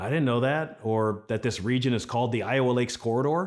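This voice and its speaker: A man with an Upper Midwest accent talks fairly quickly at a medium pitch, his intonation lively. The recording is very clean, with a silent background. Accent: Upper Midwest American. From Minnesota. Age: 40s. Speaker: TV host, former news anchor. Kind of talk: casual chat.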